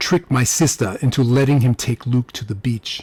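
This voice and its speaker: Some breathiness marks this man's voice. His pitch sits in the middle range. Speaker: audiobook narrator. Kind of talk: audiobook narration, first-person crime fiction.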